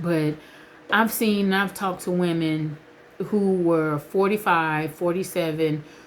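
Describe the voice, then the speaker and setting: A woman's medium-pitched speech is heard with noticeable background noise behind it. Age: 40s. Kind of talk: casual vlog talk to camera.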